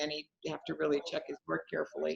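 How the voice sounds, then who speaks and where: At a fairly quick pace, a woman talks. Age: 70s. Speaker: speaker on mind and resilience, former professor. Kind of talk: live online Q&A conversation.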